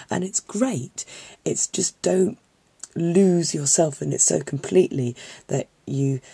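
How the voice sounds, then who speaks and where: At a very slow pace, a woman with a dark, mellow, somewhat breathy tone makes very wide pitch swings, the sound dry and close with no echo. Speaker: film student, geek fandom vlogger. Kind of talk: casual talk to camera. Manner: earnest, encouraging.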